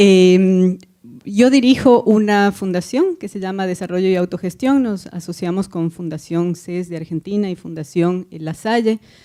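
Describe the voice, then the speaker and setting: A woman with an Ecuadorian accent talks at a fairly slow pace in a dark, mellow tone. Her pitch varies in an ordinary way. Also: medium pitch for a woman. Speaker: foundation director. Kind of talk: panel discussion.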